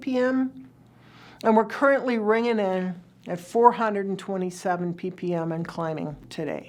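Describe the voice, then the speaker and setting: On a very clean recording with a silent background, a woman speaks at a moderate pace. She has a plain, everyday voice with ordinary pitch variation. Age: 60s. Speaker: energy futures speaker. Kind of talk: lecture. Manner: measured, explanatory.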